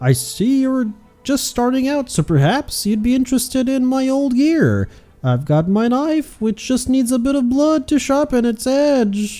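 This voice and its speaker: A put-on character voice, fairly high in pitch, at a moderate pace with music in the background. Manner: boastful, storytelling.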